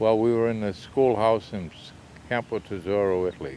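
Ordinary pitch variation comes through over light background noise, with dry sound and no echo. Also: man. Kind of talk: interview answer. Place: garden.

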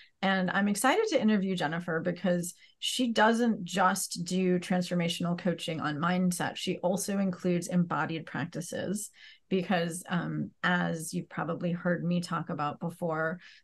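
A woman speaks in a somewhat breathy, fairly low voice against a quiet background. Her pace is moderate and her intonation fairly even. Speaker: podcast host. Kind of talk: interview introduction. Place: home room. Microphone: earbuds.

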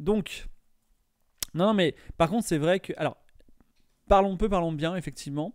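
At a moderate pace, a man speaks in a high voice with ordinary pitch variation, a dry sound with no echo and a quiet background. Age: 40s. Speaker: streamer. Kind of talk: casual chat. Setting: live stream. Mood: cheerful, birthday stream. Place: home room. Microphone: studio mic.

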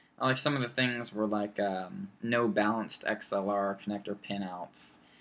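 A man at a fairly low pitch, with fairly even intonation and a fairly slow pace. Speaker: student vlogger. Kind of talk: casual vlog chat. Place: home room. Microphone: webcam.

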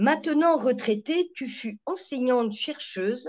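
A woman with a high-pitched voice speaks at a very slow pace. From France. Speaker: webinar host. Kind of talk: formal introduction. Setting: video call.

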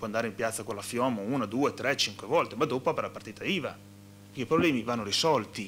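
A man with vocal fry speaks at a fairly quick pace with ordinary pitch variation over light background noise. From Modena, Emilia-Romagna; Emilia-Romagna. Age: 30s. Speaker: regional politician. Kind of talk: panel discussion. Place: meeting room. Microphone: podium.

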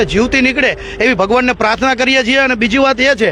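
Raised and projected, the voice carries ordinary pitch variation over noticeable background noise. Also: man. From Gujarat, Morbi district. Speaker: press reporter and swimmer rescuer. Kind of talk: interview.

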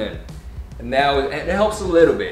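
Clear music plays in the background as a man talks at a fairly quick pace, with audible room echo. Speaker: motorbike owner reviewing his bike. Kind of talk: product review talk. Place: shop.

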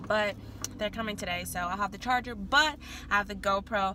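A woman's bright, sharp tone, dry with no echo, over light background noise. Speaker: student vlogger. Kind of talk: casual vlog chat. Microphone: phone near.

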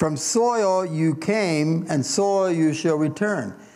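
A man with an American accent has a fairly high pitch and lively intonation in a dark, mellow tone. Audible room echo surrounds his voice. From US Midwest (Indiana). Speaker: pastor. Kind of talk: sermon. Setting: church.

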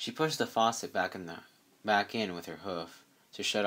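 With ordinary pitch variation, the speaker reads in a natural reading voice.

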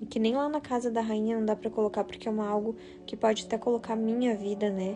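Clear music sits in the background while a woman speaks with ordinary pitch variation. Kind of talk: casual live stream talk. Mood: solemn, warning tone. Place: home room. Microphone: phone near.

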